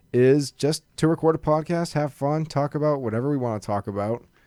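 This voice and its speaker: Recorded very cleanly with a silent background and a dry, close sound with no echo, a man with a Massachusetts accent talks at a moderate pace in a fairly high pitch with ordinary variation. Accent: Massachusetts, noticeable in certain words. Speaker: podcast host. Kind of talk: casual chat. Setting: studio.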